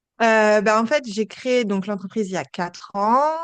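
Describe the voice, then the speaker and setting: A woman speaks against a quiet background. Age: 30s. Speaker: entrepreneur, agency founder. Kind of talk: podcast interview. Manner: hesitant, many fillers.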